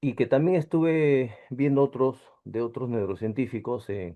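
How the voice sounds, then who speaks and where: The tone is dark and mellow. The pace is very slow against a quiet background. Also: man. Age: 60s. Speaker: engineer, course participant. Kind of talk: casual chat. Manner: halting.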